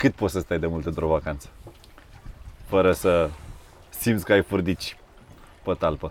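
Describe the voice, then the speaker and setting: Very deep and low in pitch, a man talks at a moderate pace with long, frequent pauses. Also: ordinary pitch variation. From Mangalia, Romania. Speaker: podcast host, company CEO. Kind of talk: interview.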